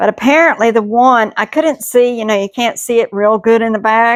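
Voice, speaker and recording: The speaker has a Southern US accent, a moderate pace, and ordinary pitch variation. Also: woman. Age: 60s. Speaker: homesteading cooking vlogger. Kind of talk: cooking tutorial chat. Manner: casual, folksy.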